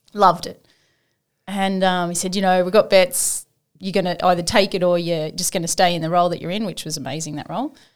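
Talking very fast with an Australian accent, a woman with a fairly low voice keeps her intonation fairly even but swings widely in loudness, in a very clean recording with a silent background. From Western Sydney, Australia. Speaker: Lifeline volunteer, former banker. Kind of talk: casual interview.

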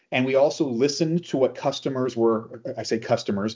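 This man has a plain, everyday voice at medium pitch and speaks at a fairly quick pace. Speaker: podcast host. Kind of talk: casual chat.

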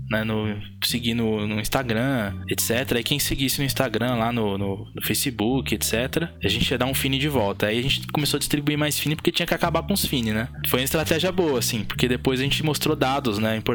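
Over noticeable background noise, a man talks at a fairly quick pace with hardly any pauses. His medium-pitched voice carries lively intonation. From Brazil. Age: 30s. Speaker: game studio co-founder and technical director. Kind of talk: casual chat.

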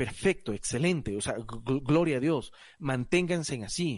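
Very slow in pace, the speech shows ordinary pitch variation. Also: man. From Ecuador, Guayaquil. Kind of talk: casual panel discussion. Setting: recording from home.

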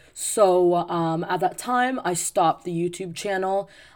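Recorded very cleanly against a silent background, a woman talks in an unremarkable speaking voice at medium pitch with ordinary pitch variation. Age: 20s. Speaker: podcast host, teacher. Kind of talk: casual monologue.

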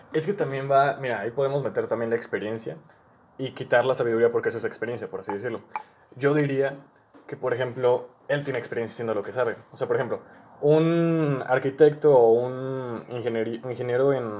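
A man with a Mexican accent talks at a medium pitch and a fairly quick pace. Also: ordinary pitch variation. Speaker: podcast host. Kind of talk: casual chat.

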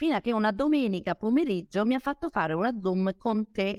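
On a very clean recording with a silent background and a dry, close sound with no echo, a woman's pitch swings very widely. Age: 50s. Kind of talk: interview on a live stream.

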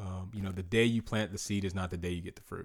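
This man has an American accent and a normal speaking voice, fairly low in pitch with ordinary pitch variation. The recording is very clean and the background silent. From South Carolina, North Augusta. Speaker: former basketball player and ministry worker. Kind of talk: casual interview.

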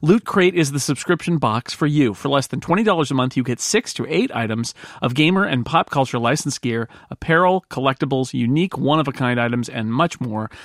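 This man has an ordinary speaking voice, pitched fairly high, with lively intonation. He talks at a fairly quick pace. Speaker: podcast host and player. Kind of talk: casual game chat plus scripted ad read.

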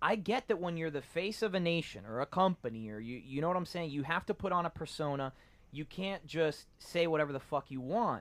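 A man's fairly high, animated voice with lively intonation at a fairly quick pace. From Miami, Florida, Cuban-American family. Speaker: podcast guest. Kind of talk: casual chat.

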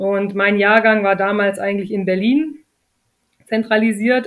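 At a moderate pace, the speaker uses a normal speaking voice with fairly even intonation. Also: woman. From southern Germany, Lake Constance area. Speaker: retired professional beach volleyball player. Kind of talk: interview.

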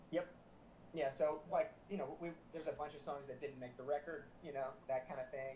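Here is a man with an American accent and a plain, everyday voice. His pitch is fairly high, his pace fairly quick, and his intonation fairly even. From US South, South Florida. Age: 30s. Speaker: musician and producer. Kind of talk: casual interview chat.

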